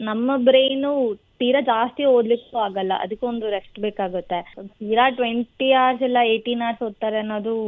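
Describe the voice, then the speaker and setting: A woman speaks in a normal speaking voice, fairly high in pitch, with fairly even intonation. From Hassan, Karnataka, India. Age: 20s. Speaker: agriculture graduate, gold medalist. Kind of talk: radio interview.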